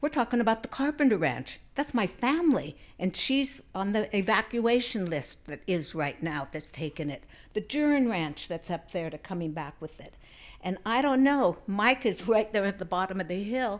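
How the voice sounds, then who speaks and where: A woman with an American accent speaks with very wide pitch swings in a very clean recording with a silent background. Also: medium pitch for a woman, moderate pace, big swings in loudness. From northern California, Trinity County area. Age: 70s. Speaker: resident speaking at community meeting. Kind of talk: public comment at community meeting. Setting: church hall community meeting. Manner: halting, rambling.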